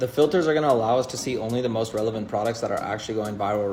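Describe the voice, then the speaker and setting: The man speaks at a very fast pace with ordinary pitch variation. Noticeable background noise runs underneath. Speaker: online business creator. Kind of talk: tutorial.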